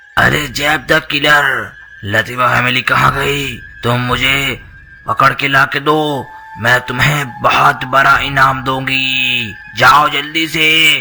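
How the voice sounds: A man puts on a cartoonish character voice at a medium pitch and a very slow pace. Background noise is clearly heard.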